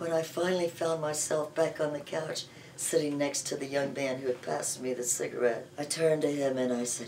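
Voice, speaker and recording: A woman speaks at a moderate pace with a very deep, low pitch. Noticeable background noise sits behind her. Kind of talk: personal anecdote told to camera. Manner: animated, playful.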